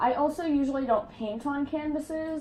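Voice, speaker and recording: A woman at a moderate pace with ordinary pitch variation, amid audible room echo. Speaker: art student and video creator. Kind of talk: casual tutorial vlog. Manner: chatty, filler-heavy.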